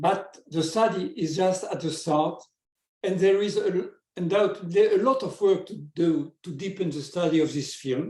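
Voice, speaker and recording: Moderate pace from a man with a high-pitched voice. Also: ordinary pitch variation. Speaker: stamp collector and researcher. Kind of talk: presentation; casual chat. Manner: halting.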